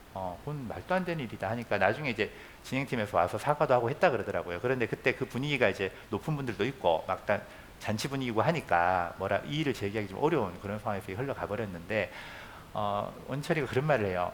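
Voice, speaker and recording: A man's very fast delivery at a medium pitch, with lively intonation. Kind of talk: church lecture to teachers.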